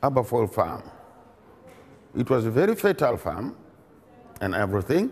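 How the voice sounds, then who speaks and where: A man talks at a fairly quick pace and medium pitch. His pitch swings very widely, and he takes long, frequent pauses. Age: 70s. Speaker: professor. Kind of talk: interview storytelling. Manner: halting, self-correcting.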